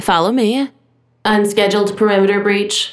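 A female-sounding, put-on character voice at medium pitch and moderate pace. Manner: unfriendly, flat monotone.

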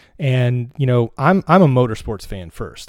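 A man with an American accent talks at a fairly quick pace in a normal speaking voice, medium in pitch with ordinary pitch variation. The recording is very clean, with a silent background. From North Carolina mountains. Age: 40s. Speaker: race fan. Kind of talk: casual chat. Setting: at home.

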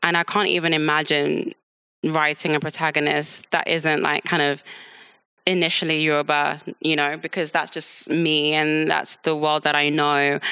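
In a London accent, a woman speaks with a very deep, low pitch and a bright, sharp tone, her intonation monotone and flat, her loudness very even and her pace moderate, against a quiet background. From London, England. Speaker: author. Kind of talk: live book talk interview.

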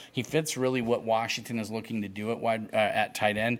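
A man talks on a very clean recording against a silent background. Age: 40s. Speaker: college football recruiting reporter. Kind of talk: casual chat. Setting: outdoors. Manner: halting.

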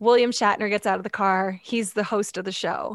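This woman talks with a Canadian accent at a fairly high pitch, in a flat, monotone way. The sound is dry and close, with no echo. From Canada, London Ontario. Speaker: TV entertainment correspondent. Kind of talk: casual interview chat. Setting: home music studio, remote.

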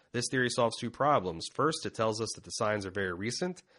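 A man's plain, everyday voice at a fairly quick pace, with lively intonation. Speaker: podcast host. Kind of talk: casual chat. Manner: joking, casual.

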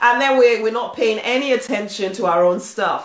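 This woman talks at a moderate pace and a fairly high pitch, her intonation lively and her tone animated and warm. Background noise is noticeable throughout. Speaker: spiritual coach and author. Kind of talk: motivational pep talk. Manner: warm, emphatic and exhortative, driving each point home; animated, encouraging, with repeated affirming phrases.

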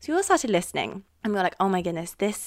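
The speaker is a woman. She talks in an RP accent. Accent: Received Pronunciation British English. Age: 20s. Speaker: university student. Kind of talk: casual chat.

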